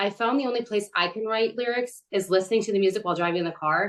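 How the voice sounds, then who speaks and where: A woman speaks with an American accent in an ordinary speaking voice. Her pitch is fairly high, and her intonation is lively. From Michigan, Detroit area. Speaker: podcast interviewer and singer. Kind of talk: interview.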